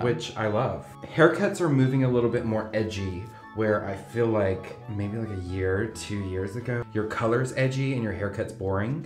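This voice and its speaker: Moderate pace in an American accent, with audible room echo and faint music in the background. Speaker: hairstylist. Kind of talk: casual chat while working. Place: studio.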